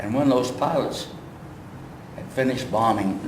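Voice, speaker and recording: Background noise is noticeable in this clip. A man talks at a medium pitch. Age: 80s+. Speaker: WWII veteran museum guide. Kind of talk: oral history talk to camera. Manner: hesitant, halting.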